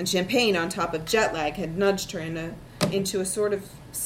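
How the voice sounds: The reading here comes in a natural reading voice.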